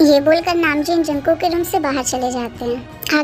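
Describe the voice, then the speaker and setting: A woman speaks at a fairly quick pace in a high voice, with clear music playing in the background. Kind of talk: fan dub story narration. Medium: fan dub. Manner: casual, storytelling.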